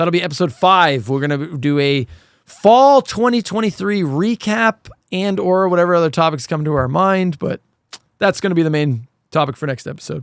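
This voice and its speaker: Loud and high-pitched, a man speaks at a moderate pace with lively intonation. The sound is dry and close, with no echo. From Canada. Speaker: podcast host. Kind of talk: casual chat.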